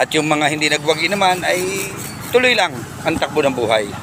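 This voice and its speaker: A man talks at a moderate pace with a fairly high pitch and ordinary pitch variation. Noticeable background noise runs under his voice. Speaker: vlogger. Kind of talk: casual chat. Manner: animated; softer speech today.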